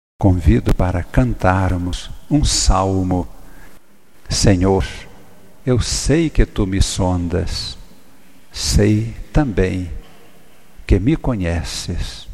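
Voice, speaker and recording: Somewhat breathy and very deep, a man speaks in a solemn, intense tone at a very slow pace, with very wide pitch swings and long, frequent pauses. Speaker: priest preacher. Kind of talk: fervent prayer of praise, solemn and devout, addressed to God. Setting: church. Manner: solemn, reverent, intense and heartfelt, with a rhythmic, incantatory cadence.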